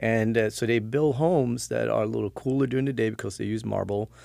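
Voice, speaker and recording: On a very clean recording with a silent background, a man speaks very fast at medium pitch with ordinary pitch variation. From Sweden, Stockholm suburbs. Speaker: podcast guest. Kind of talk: casual chat. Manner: halting, many fillers.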